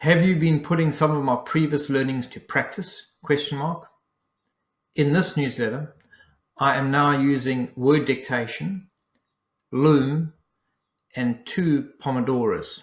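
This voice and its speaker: Speaking at a fairly slow pace with long, frequent pauses, a man with a South African accent has a fairly high pitch, a somewhat breathy sound and ordinary pitch variation. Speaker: business coach. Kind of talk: dictating a newsletter aloud. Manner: dictation with spoken punctuation.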